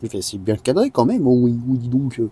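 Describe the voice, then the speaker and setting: A man's voice with a dark, mellow tone. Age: 20s. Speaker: car youtuber. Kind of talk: tutorial. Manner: halting.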